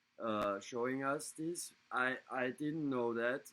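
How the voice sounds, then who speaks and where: With a German accent, a man talks very slowly at a medium pitch. His tone is bright and sharp, with ordinary pitch variation. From Germany. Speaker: scale model hobbyist, show co-host. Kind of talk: casual chat. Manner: halting.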